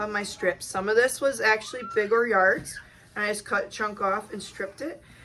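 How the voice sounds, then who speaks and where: Over noticeable background noise, a woman with a fairly high pitch talks at a moderate pace with fairly even intonation. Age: 30s. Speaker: sewing channel host. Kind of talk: tutorial. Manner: casual, with many fillers.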